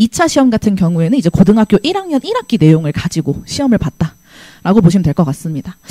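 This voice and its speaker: This woman talks at a very fast pace. Her pitch swings very widely. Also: dry, close sound with no echo. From South Korea, Gyeonggi (Hwaseong). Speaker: math teacher. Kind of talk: presentation to parents and students. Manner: trembling voice.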